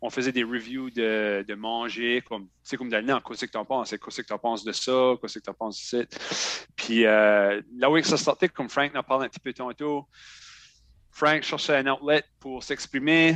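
A man's ordinary speaking voice at a medium pitch, with ordinary pitch variation, a moderate pace, and a dry, close sound with no echo. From Acadian New Brunswick (Shediac). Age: 30s. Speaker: podcaster and federal government employee. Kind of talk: casual interview chat.

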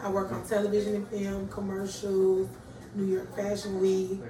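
Audible room echo and noticeable background noise surround a woman with an American accent who speaks at medium pitch and a moderate pace. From Atlanta, Georgia (US South). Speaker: coffee shop owner. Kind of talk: casual interview. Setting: coffee shop.

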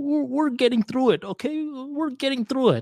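In a put-on character voice, a man sounds nervous at an extremely high pitch, on a very clean recording with a silent background. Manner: nervous, fear-inducing.

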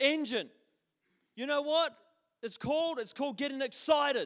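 With a New Zealand accent, a man speaks at an extremely high pitch with ordinary pitch variation. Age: 30s. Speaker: pastor. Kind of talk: sermon. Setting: church. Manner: halting.

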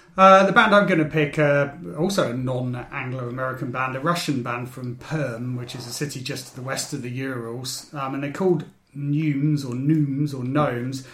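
Against noticeable background noise and audible room echo, a man speaks at medium pitch and moderate pace, with ordinary pitch variation and big swings in loudness. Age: 40s. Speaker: podcast host. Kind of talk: casual chat.

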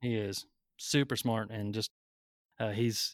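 The sound is dry and close with no echo, and the recording is very clean with a silent background. A man speaks in a monotone with flat intonation. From military family, moved around (Maine, Germany, California). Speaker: attorney. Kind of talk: podcast interview.

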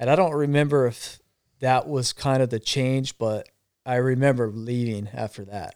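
With an American accent and a plain, everyday voice, a man speaks at medium pitch and a moderate pace with fairly even intonation. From Arizona. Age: 40s. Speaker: cancer survivor and former line worker. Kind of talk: casual chat.

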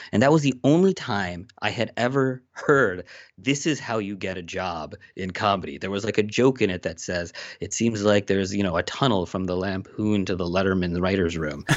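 Fairly low in pitch, a man with an American accent speaks in an unremarkable speaking voice at a moderate pace, with ordinary pitch variation. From Pennsylvania, US. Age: 30s. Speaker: television comedy writer. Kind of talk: interview.

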